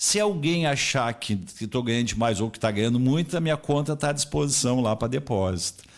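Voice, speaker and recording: A man's voice with very wide pitch swings at a fairly quick pace. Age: 60s. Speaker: retired civil servant and radio broadcaster. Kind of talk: radio interview. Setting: radio studio, also streamed live.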